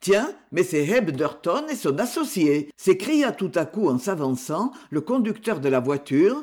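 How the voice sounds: Just a natural reading voice.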